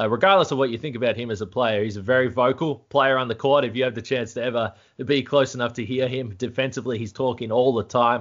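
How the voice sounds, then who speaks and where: A man with an Australian accent at a very fast pace, medium in pitch, fairly even in intonation, with hardly any pauses. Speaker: sports podcast host. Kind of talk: casual sports chat. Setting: remote call.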